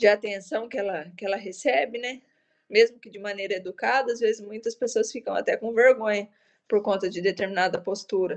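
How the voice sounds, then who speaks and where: A woman speaks in a plain, everyday voice at a medium pitch and a fairly quick pace, with ordinary pitch variation and big swings in loudness. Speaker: police corporal and traffic instructor. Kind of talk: lecture.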